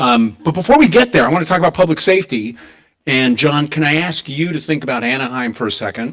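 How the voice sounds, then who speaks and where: With very wide pitch swings, a man speaks at a very fast pace in a medium pitch. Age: 60s. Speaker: panel moderator. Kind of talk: panel discussion. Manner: animated.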